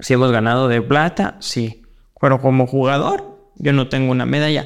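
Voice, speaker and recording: Speaking at a moderate pace and a medium pitch, a man uses an ordinary speaking voice. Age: 30s. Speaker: wheelchair basketball player and coach. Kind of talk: interview.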